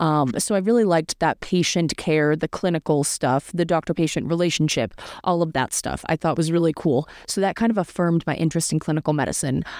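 A woman with an American accent and a plain, everyday voice, fairly low-pitched, at a fairly quick pace, with very even loudness and a dry, close sound with no echo. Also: ordinary pitch variation. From US Northeast (central Massachusetts). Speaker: medical student. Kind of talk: interview.

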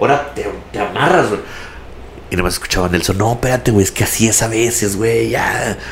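A man speaks at a medium pitch and a fairly quick pace in an animated tone. Noticeable background noise runs under his voice. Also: ordinary pitch variation. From Laredo, Texas. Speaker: radio announcer. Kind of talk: casual chat.

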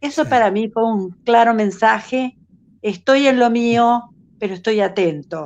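The speaker has a Rioplatense accent and goes at a fairly slow pace. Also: woman, fairly high pitch for a woman, ordinary pitch variation. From Uruguay. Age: 70s. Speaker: caller. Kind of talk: testimony.

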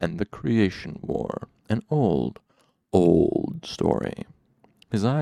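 Against a quiet background, the reading comes in an unforced reading voice.

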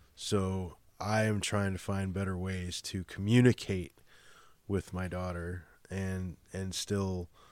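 A man with a Chicago accent speaks at a very slow pace in a very deep, low voice with monotone, flat intonation, on a very clean recording with a silent background. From Chicago, US Midwest. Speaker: guest, musician and father. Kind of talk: casual interview chat.

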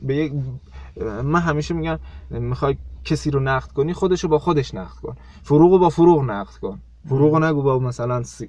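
A man talks at a very fast pace. His speech breaks into long, frequent pauses. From South Khorasan, Iran. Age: 20s. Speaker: poet and teacher. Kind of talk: casual interview. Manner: halting.

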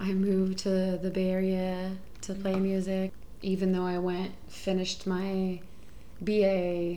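A woman speaks in an American accent at a medium pitch, with a dark, mellow tone and a fairly slow pace. Her intonation is monotone and flat, and audible room echo surrounds her. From Houston, Texas. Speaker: sex worker and musician. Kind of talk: casual chat.

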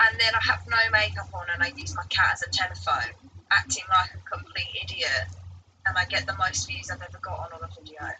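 With vocal fry and a very deep, low pitch, a woman talks at a fairly quick pace, her pitch swinging very widely and her loudness shifting a lot. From Essex, England. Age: 20s. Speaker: singer-songwriter. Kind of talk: casual chat.

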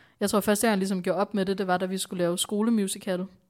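The recording is very clean and the background silent. A woman talks in a flat monotone. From Denmark, Bornholm. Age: 20s. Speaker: entrepreneur. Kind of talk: podcast interview.

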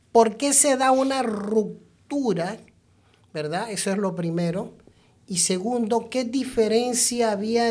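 The speech comes at a very slow pace. Noticeable background noise sits behind it. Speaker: podcast host. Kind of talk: casual interview. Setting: studio.

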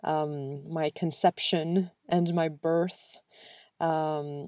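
A woman with an American accent speaks at a fairly low pitch in a dark, mellow tone. Her intonation is fairly even, and the sound is dry and close with no echo. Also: very clean recording, silent background. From Spain and the US. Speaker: podcast host, personal growth coach. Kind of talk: solo monologue podcast.

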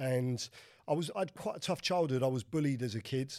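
Speaking at a very fast pace with a London accent, a man has a medium pitch and a dark, mellow tone. The recording is very clean, with a silent background. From West London, England. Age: 50s. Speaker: crypto and property mentor, former prisoner. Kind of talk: casual interview.

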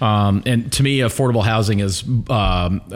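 A man with an American accent uses an ordinary speaking voice, with fairly low pitch, ordinary pitch variation and a moderate pace. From Alabama, US South (Pelham, near Birmingham). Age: 40s. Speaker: real estate agent. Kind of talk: casual chat.

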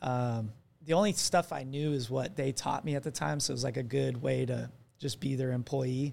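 A man speaks in an American accent at a medium pitch. His pace is moderate. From Arizona. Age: 20s. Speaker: athletic trainer. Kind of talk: casual chat.

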